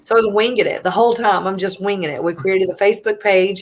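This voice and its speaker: A woman with a Southern US accent. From US South, South Carolina (Easley). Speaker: military mom, nonprofit founder. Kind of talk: interview storytelling.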